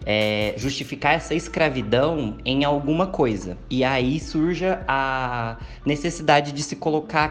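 Music plays in the background as a man with a medium pitch talks. His pace is very slow, with ordinary pitch variation. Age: 20s. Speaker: university student. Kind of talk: panel discussion. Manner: hesitant with filler sounds.

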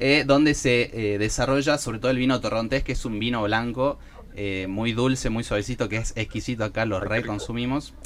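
A man with an ordinary speaking voice keeps a medium pitch, fairly even intonation and a moderate pace. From Argentina, Salta. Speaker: podcast co-host. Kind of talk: casual chat.

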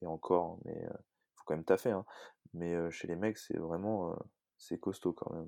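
A man's very deep, low voice with a dark, mellow tone, fairly even intonation, a fairly slow pace and long, frequent pauses, in a dry, close sound without echo. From France, Annecy. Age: 30s. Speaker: CrossFit coach and athlete. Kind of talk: interview. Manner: hesitant, many fillers.

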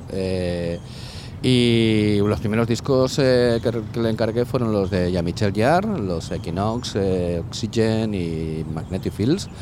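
Amid noticeable background noise, a man with a fairly low pitch speaks at a very slow pace with ordinary pitch variation. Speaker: DJ and music promoter. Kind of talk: casual interview. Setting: outdoors cycling along the coast. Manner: halting, many repetitions.

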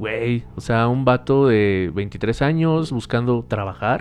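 A man speaks at a medium pitch with a Mexican accent. His intonation is lively. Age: 20s. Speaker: podcast co-host. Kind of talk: casual chat.

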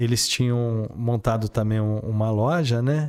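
A man speaks very slowly in a dark, mellow tone at a medium pitch with ordinary variation. The recording is very clean, with a silent background. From Brazil, São Paulo state interior. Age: 50s. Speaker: car dealer. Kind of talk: interview.

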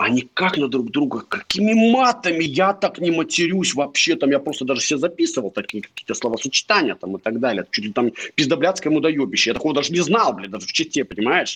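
A man speaks very fast at a fairly high pitch, with vocal fry. His pitch swings very widely, and the sound is dry and close with no echo. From Chita, Russia. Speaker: company founder and CEO. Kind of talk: casual interview. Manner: profane, blunt.

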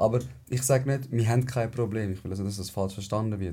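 The man's voice has a dark, mellow tone and is somewhat breathy. His pitch varies in an ordinary way. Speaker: podcast host. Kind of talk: casual chat.

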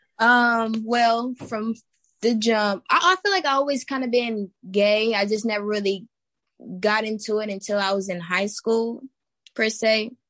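In an American accent, a woman with an ordinary speaking voice and a fairly high pitch talks at a fairly slow pace with ordinary pitch variation. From Texas. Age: 20s. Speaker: guest. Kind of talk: casual chat.

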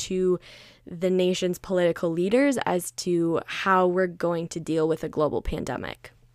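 A woman with an American accent speaks at a moderate pace at medium pitch, in an ordinary speaking voice. The sound is dry and close, with no echo. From Minnesota, US Midwest. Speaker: podcast host. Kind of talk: solo podcast monologue. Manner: frequent 'um' fillers, casual.

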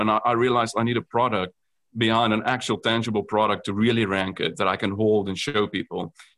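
A man speaks very fast in a South African accent. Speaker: food company founder. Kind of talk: casual interview.

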